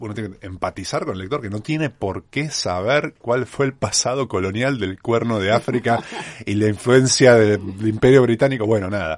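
At a moderate pace and a medium pitch, this man talks in a plain, everyday voice with ordinary pitch variation. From Argentina, Mar del Plata. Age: 40s. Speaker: travel writer. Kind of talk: interview. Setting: radio studio.

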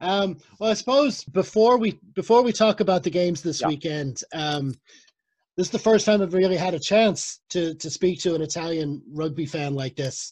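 A man talks at a moderate pace, his voice high for a man. His pitch varies in an ordinary way. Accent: Irish. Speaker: podcast host. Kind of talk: casual interview. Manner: halting.

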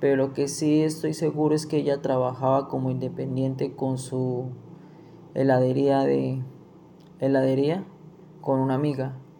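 With monotone, flat intonation, a man speaks at a fairly slow pace and leaves long, frequent pauses. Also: medium pitch for a man, very even loudness. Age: 20s. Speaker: interviewee, nursing student. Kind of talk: interview.

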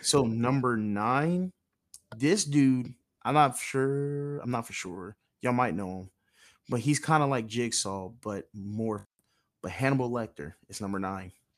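Heard in a very clean recording with a silent background, a normal speaking voice moves at a fairly slow pace with lively intonation and big swings in loudness. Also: man, medium pitch for a man. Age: 20s. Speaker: podcast host. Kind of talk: casual chat.

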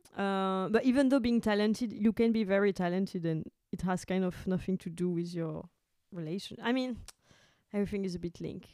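A woman's dark, mellow tone at a medium pitch and a fairly quick pace. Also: ordinary pitch variation. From France. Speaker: poet, singer and burlesque performer. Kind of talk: casual chat.

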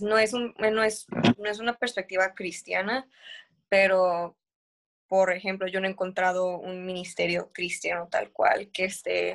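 In an ordinary speaking voice, a woman talks at a medium pitch with fairly even intonation. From northern Mexico, Tijuana. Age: 20s. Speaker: theology student. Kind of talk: casual chat.

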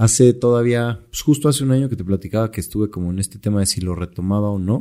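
A man with a Mexican accent speaks at a very fast pace in a medium pitch with ordinary pitch variation and a dark, mellow tone. The recording is very clean, with a silent background. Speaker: entrepreneur. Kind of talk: casual chat.

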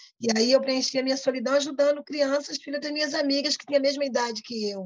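A woman's voice with ordinary pitch variation. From Brazil, Pernambuco (Paulista), raised in Rio de Janeiro. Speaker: community activist. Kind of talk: interview.

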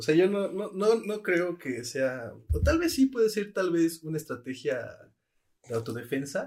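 In a Mexican accent, a man speaks at a fairly slow pace, his high voice making very wide pitch swings. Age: 20s. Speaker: podcast co-host. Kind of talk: casual chat.

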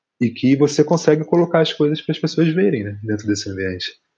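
This man's voice is fairly high and somewhat breathy. He moves at a fairly quick pace with very wide pitch swings. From Rio de Janeiro, West Zone (Brazil). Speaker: musician and visual artist. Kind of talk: casual interview chat.

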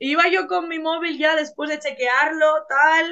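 The voice is raised and projected, with a bright, sharp tone. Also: woman. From Bilbao, northern Spain. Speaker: pageant contestant and body-positivity advocate. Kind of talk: casual interview chat.

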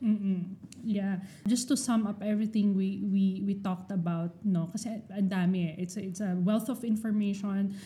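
A woman's somewhat breathy, dark, mellow voice, fairly high in pitch, with ordinary pitch variation at a moderate pace. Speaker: podcast co-host. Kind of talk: casual chat.

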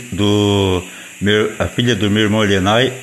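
Noticeable background noise behind a man with a fairly low-pitched voice. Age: 40s. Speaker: speaker recording a personal audio. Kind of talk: reading aloud. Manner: halting.

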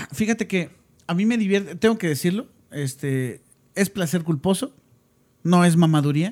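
A man with a high pitch speaks at a moderate pace with lively intonation and an animated tone. He leaves long, frequent pauses. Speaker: podcast co-host. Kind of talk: casual chat.

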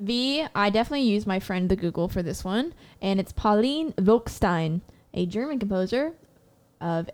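Speaking at a moderate pace in a medium pitch, a woman has lively intonation and an unremarkable speaking voice. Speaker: podcast co-host, brass player. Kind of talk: casual chat.

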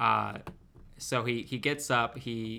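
A man's bright, sharp voice at medium pitch with vocal fry, on a very clean recording with a silent background. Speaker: podcast co-host. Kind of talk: casual banter podcast chat.

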